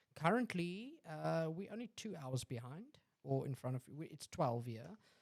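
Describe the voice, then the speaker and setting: Speaking with a South African accent, a man uses lively intonation at a moderate pace. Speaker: podcast host. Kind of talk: casual chat.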